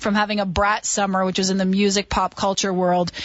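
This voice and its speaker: A woman is speaking. She has an Ontario accent. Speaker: radio host. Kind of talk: radio interview.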